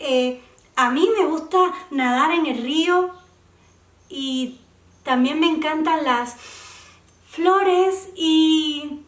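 Lively intonation in audible room echo, over a quiet background. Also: woman. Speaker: oral storyteller. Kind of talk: children's story reading.

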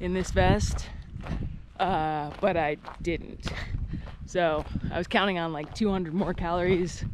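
Very slow woman's voice, fairly low in pitch, over noticeable background noise, with a dry sound and no echo. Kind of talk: casual vlog chat. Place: open country. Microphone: phone near.

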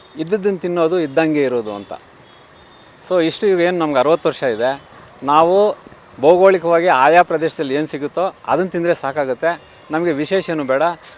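Through noticeable background noise, a man's fairly high voice shifts in pitch in an ordinary way. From Kolar district, Karnataka. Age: 60s. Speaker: physical education teacher and athletics coach. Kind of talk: press interview.

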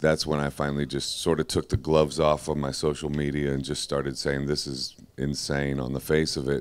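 Speaking at a moderate pace, the man has a very deep, low pitch. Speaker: guest. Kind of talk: panel discussion answer. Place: tent. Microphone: handheld.

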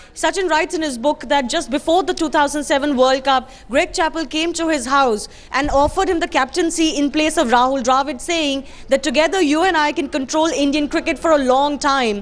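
The woman's voice is high-pitched, with ordinary pitch variation. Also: moderate pace. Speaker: news correspondent. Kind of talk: live news report. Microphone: handheld.

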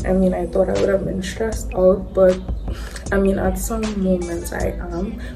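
A woman talks while clear music sounds in the background. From Trinidad and Tobago. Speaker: vlogger. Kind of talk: casual vlog talk to camera. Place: home room. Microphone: phone near.

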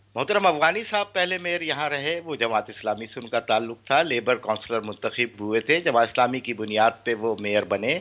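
Speaking at a moderate pace with hardly any pauses, a man uses lively intonation and a bright, sharp tone. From Pakistan. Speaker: party representative; guest. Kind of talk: political debate. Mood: assertive, correcting other guest. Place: home room. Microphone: video call.

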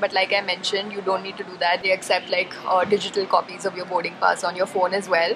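This woman's speech is very fast. Behind her there is noticeable background noise. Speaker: travel vlogger. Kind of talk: casual vlog chat. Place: station. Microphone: phone near.

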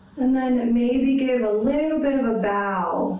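With audible room echo, a woman speaks at a very slow pace. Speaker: yoga instructor. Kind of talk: guided yoga class, calm step-by-step cueing. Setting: video call. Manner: calm, slow, soothing; instructive, gentle, encouraging. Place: home room. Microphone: camera far.

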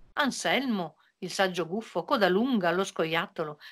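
A woman speaks at a fairly low pitch with a fairly bright tone. Her intonation is lively. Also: moderate pace.

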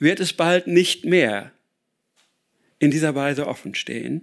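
Against a quiet background, a man talks at a very slow pace with very wide pitch swings and long, frequent pauses. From Ruhr area, Germany; Germany. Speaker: author and speaker on sustainability; speaker. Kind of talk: lecture. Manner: hesitant with many filler sounds. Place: hall. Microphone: podium.

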